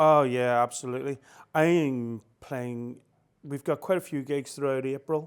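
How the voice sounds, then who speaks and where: In a Northern Irish accent, a man speaks at a moderate pace with a medium pitch and fairly even intonation. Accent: Northern Irish, noticeable. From Northern Ireland, Belfast. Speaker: musician and music promoter. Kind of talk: radio interview. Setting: radio studio, on a sofa.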